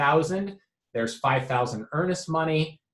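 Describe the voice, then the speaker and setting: Somewhat breathy, a man with a fairly high pitch speaks with lively intonation. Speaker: real estate agent. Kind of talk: explanatory video message to clients. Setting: office. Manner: many fillers (um, uh).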